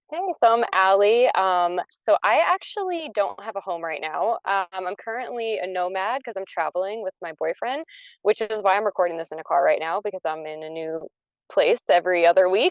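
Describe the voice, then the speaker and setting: A woman with an ordinary speaking voice talks with big swings in loudness. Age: 30s. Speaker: patient panelist. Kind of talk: panel discussion. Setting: in a car.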